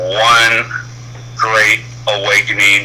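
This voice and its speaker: Noticeable background noise is in the clip. The voice is a man's. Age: 60s. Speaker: truck driver calling in to a show. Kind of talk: personal testimony on a call-in show. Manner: halting, with many fillers.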